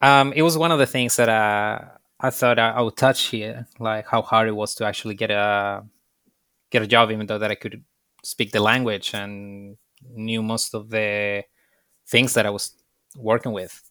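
With a Spanish accent, this man talks at a moderate pace in a fairly low, bright and sharp voice, leaving long, frequent pauses. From Chile. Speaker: bartender and beer specialist. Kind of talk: casual interview. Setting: video call.

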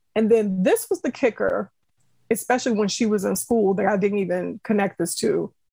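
A woman with a dark, mellow tone and some vocal fry talks at a medium pitch with ordinary variation, the sound dry and close with no echo against a quiet background. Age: 40s. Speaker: parent with ADHD. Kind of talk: interview.

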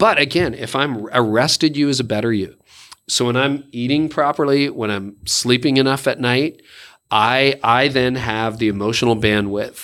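In a plain, everyday voice, a man talks at a moderate pace and medium pitch with ordinary pitch variation. The recording is very clean, with a silent background. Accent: Canadian. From Canada. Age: 50s. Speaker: pastor and leadership podcaster. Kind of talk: casual interview.

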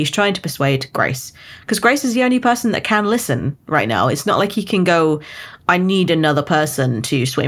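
With a British accent, a woman's voice makes very wide pitch swings. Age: 20s. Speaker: book podcast co-host. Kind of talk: casual chat.

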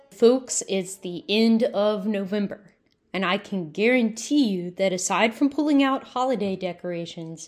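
A woman with a Southern US accent talks at a fairly slow pace on a very clean recording with a silent background. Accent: Southern American. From US South. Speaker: podcast host. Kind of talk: podcast interview.

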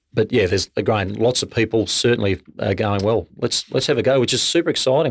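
Speaking at a fairly quick pace, a man at a medium pitch with an Australian accent comes through on a very clean recording with a silent background. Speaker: distillery co-founder. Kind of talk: casual interview.

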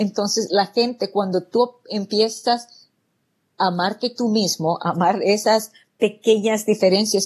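Against a quiet background, a woman with a medium pitch speaks at a fairly slow pace, somewhat breathy, with fairly even intonation. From El Salvador. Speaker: real estate entrepreneur. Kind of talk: interview.

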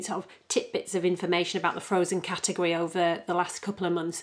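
This woman talks at a very fast pace, her medium-pitched voice held in a monotone with flat intonation. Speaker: podcast co-host. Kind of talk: casual chat.

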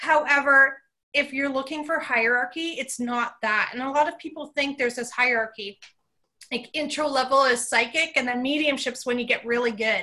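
A woman's raised, projected voice, high-pitched, at a moderate pace, with fairly even intonation and a bright, sharp tone. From Canada. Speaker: psychic medium. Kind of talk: casual interview chat.

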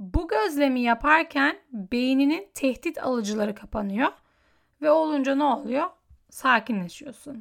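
A woman speaks in a high, bright, sharp voice. The recording is very clean with a silent background. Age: 20s. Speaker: solo podcaster. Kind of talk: personal monologue.

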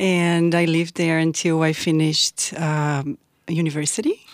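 A fairly low-pitched woman's voice with a Portuguese accent. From southern Brazil (Porto Alegre). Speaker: immigrant storyteller, university academic. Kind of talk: interview storytelling.

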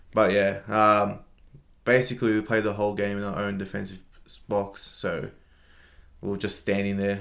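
Speaking with an Australian accent, a man uses a fairly low pitch in a flat monotone. His pace is moderate, broken by long, frequent pauses. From Australia, Melbourne. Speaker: entrepreneur. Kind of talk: interview.

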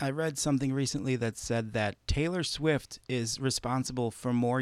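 With a plain, everyday voice, a man talks at a moderate pace and with fairly even intonation. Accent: American. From Chicago, US Midwest. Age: 40s. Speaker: podcast host and musician. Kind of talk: casual interview chat; scripted podcast intro.

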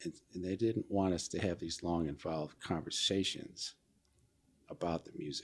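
The delivery keeps a moderate pace with fairly even intonation. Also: man, very deep, low pitch for a man. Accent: American. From central New York. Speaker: jazz producer and musician. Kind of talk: interview conversation. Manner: halting, many fillers.

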